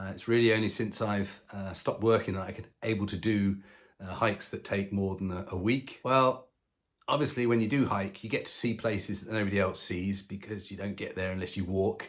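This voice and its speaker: Low-ish in pitch, a man does the talking. The recording is very clean, with a silent background. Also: fairly even intonation. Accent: southern English. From London, England. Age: 60s. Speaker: retired long-distance hiker. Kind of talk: casual self-introduction to camera. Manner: hesitant, many ums and uhs.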